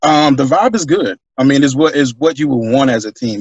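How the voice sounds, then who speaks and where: Delivered at a fairly quick pace with an American accent, it is a plain, everyday voice with ordinary pitch variation. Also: man. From US South (Atlanta, Georgia). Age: 30s. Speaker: simulation football league player. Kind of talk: casual interview.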